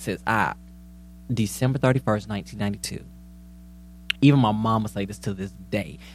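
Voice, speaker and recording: Animated and fairly quick, a man with a fairly low voice speaks with ordinary pitch variation, big swings in loudness, and long, frequent pauses. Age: 20s. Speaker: podcast co-host. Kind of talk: casual chat.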